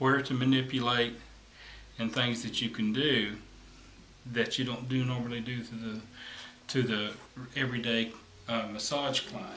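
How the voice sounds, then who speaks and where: A man's flat, monotone delivery at a moderate pace, with long, frequent pauses, audible room echo and light background noise. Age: 50s. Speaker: massage therapist; massage therapist instructor. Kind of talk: tutorial. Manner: hesitant, with fillers. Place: home room. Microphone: camera far.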